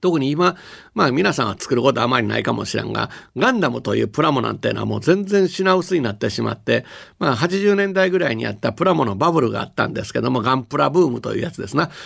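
Talking at a very fast pace, a man with a fairly high voice swings very widely in pitch and shows vocal fry. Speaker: company executive and university professor. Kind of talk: radio lecture talk.

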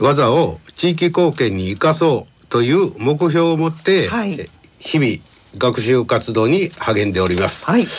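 At a fairly slow pace, a man with a fairly high pitch swings very widely in pitch, with vocal fry. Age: 70s. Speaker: senior college student council president. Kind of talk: prepared presentation. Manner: formal.

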